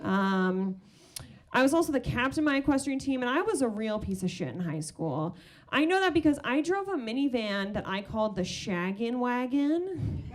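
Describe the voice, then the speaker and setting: Speaking with an American accent, a woman with a high voice makes very wide pitch swings amid audible room echo. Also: moderate pace. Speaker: stand-up comedian. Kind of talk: stand-up. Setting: stage with audience.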